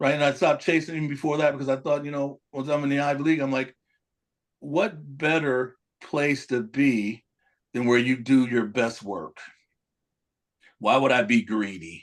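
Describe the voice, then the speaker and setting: Long, frequent pauses break up a man's speech at a moderate pace. His pitch is fairly high, with ordinary variation. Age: 60s. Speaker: college football coach. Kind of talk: casual chat. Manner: animated.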